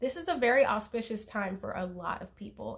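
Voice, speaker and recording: Against a quiet background, a woman with a fairly high pitch sounds somewhat breathy. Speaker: tarot reader. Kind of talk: live stream tarot reading. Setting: Instagram live stream at home. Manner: fast.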